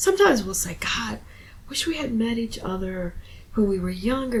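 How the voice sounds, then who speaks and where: A woman speaks at a moderate pace with an American accent, her fairly high voice full of lively intonation. Room echo is audible, and there is noticeable background noise. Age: 60s. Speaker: poet. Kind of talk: casual chat.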